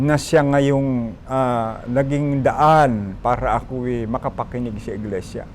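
Noticeable background noise sits behind a man with a medium pitch and fairly even intonation. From Philippines, Bohol. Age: 70s. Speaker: church deacon. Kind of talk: testimony.

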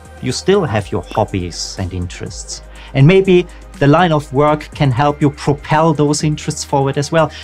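Faint background music behind a man speaking at a moderate pace. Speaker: career coach youtuber. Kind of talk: educational talk to camera. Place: home room.

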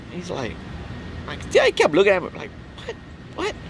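A man talks at a moderate pace. The sound is dry with no echo, with light background noise. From Louisiana Cajun country, Opelousas; Louisiana. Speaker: vlogger, Marine veteran; vlogger. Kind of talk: casual storytelling monologue. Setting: outdoors at a campsite. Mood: relaxed, joking. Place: open country. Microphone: phone near.

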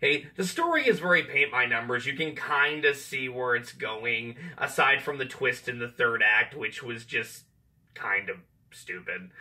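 The speaker moves at a fairly slow pace, with lively intonation and a bright, sharp tone. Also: man, medium pitch for a man.

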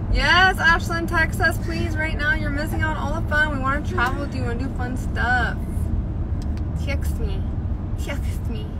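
Through loud background noise, a woman speaks at a moderate pace with long, frequent pauses. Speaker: live streamer. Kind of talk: casual vlog chat. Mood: playful, upbeat. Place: car. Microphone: phone near.

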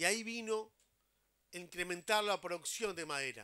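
Against a quiet background, a man with a high pitch speaks in a bright, sharp tone with ordinary pitch variation. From Uruguay. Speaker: housing agency head. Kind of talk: public speech. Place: open country. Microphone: handheld.

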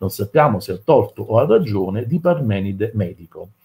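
The voice has a dark, mellow tone with a husky, rough edge, big pitch swings and a moderate pace. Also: man.

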